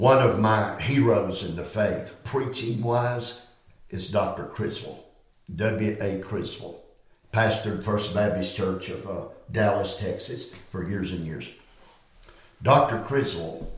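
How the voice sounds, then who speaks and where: A man speaks with a Southern US accent at a fairly low pitch. His delivery is very slow and somewhat breathy. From US South Carolina. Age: 70s. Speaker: preacher. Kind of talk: interview about ministry and study.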